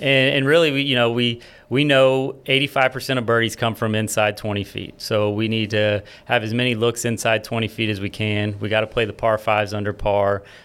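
In an unremarkable speaking voice with an American accent, a man talks at a fairly quick pace and medium pitch with fairly even intonation, on a very clean recording with a silent background. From Florida. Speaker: college golf coach. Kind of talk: interview.

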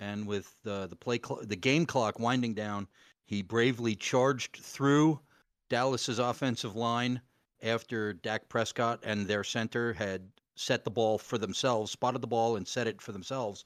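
A man at a moderate pace with a plain, everyday voice and medium pitch. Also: fairly even intonation, very clean recording, silent background. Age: 40s. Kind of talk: casual chat.

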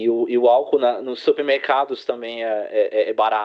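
A man talks at a moderate pace. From England (London, Newcastle) and Brazil (Teresina, Piauí). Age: 20s. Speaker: guest. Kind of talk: casual interview. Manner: halting, frequent repetitions.

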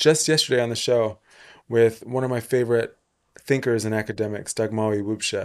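A man with a plain, everyday voice speaks at a fairly quick pace and a medium pitch, his intonation fairly even, on a very clean recording with a silent background. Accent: American. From England, part of youth in Texas and Atlanta. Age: 30s. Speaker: podcast host. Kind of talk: casual interview.

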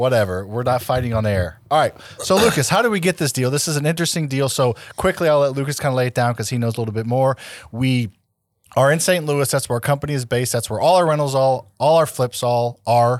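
A man at medium pitch talking very fast, in a very clean recording with a silent background. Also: ordinary pitch variation. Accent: American. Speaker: podcast host, real estate investor. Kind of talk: casual chat.

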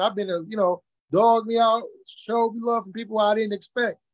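A man with an American accent speaks at a high pitch. The sound is dry and close, with no echo. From Muskegon, Michigan. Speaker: party promoter and entertainment entrepreneur. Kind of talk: casual interview chat.

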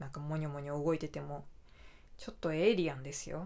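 A woman with a very deep, low voice is heard with audible room echo. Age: 30s. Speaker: podcaster. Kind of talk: casual chat.

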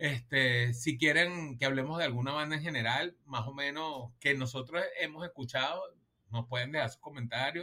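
Speaking with a Venezuelan accent, a man uses a bright, sharp tone at fairly high pitch. His intonation is lively and his pace moderate. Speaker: music podcast co-host. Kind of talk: casual chat.

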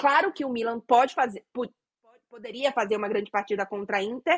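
The sound is dry and close, without any echo. A woman talks with lively intonation. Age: 30s. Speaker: football correspondent and podcast co-host. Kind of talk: casual chat.

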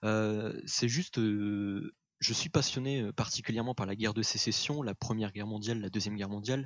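At a moderate pace, a man speaks with fairly low pitch and ordinary pitch variation. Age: 20s. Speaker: history student and photo colorist. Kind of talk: casual interview. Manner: hesitant, with filler words.

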